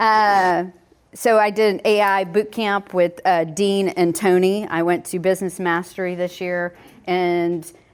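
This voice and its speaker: The speaker has a slight Southern US accent and fairly even intonation. The recording is very clean, with a silent background. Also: woman. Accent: slight Southern twang. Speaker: home inspector running a realtor workshop. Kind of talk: workshop presentation. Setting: in-person workshop with audience. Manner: casual, conversational.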